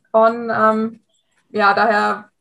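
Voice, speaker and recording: Speaking in a monotone, flat intonation, a woman has a fairly high pitch and a bright, sharp tone. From Hesse, near Frankfurt. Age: 20s. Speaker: amateur rider, coaching client. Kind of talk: interview testimony.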